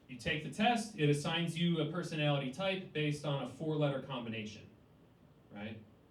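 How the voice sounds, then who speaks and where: A man with an American accent, fairly high in pitch, at a fairly quick pace with ordinary pitch variation, over noticeable background noise and audible room echo. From US Midwest, Cleveland, Ohio. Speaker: stand-up comedian. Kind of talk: stand-up. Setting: stage with audience.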